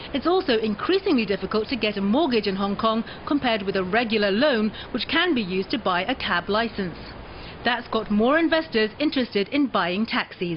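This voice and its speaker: A woman with a fairly high pitch and lively intonation talks at a fairly quick pace with very even loudness, while noticeable background noise runs behind her. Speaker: TV news reporter. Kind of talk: TV news report narration.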